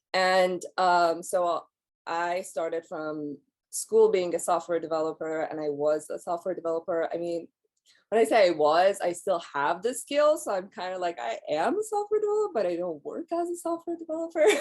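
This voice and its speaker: A woman with a Persian accent speaks at a moderate pace. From Iran. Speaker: life coach. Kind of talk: podcast interview.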